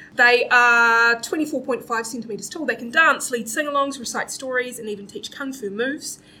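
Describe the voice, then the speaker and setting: A bright, sharp voice speaks in a New Zealand accent. The pace is moderate and the pitch variation ordinary. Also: woman. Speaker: comedy panel show host. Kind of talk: live comedy panel show. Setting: stage with live audience, streamed.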